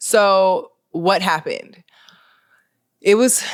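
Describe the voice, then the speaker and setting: A woman in an American accent, animated in tone. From Maryland, US. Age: 30s. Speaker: podcast host, former model and influencer. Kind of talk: solo podcast monologue, casual chat.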